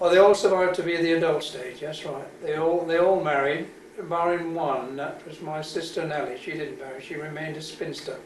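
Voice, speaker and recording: Over noticeable background noise and audible room echo, a man talks at a fairly quick pace and high pitch, with fairly even intonation and big swings in loudness. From Wales, Cardiff. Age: 70s. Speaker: army veteran. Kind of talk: oral history interview. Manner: halting.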